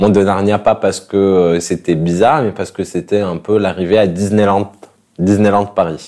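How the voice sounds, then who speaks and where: Dark, mellow male voice, fairly low in pitch, with fairly even intonation. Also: moderate pace. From Morocco, Fès. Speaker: interviewee sharing life story. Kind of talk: casual interview. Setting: at his home.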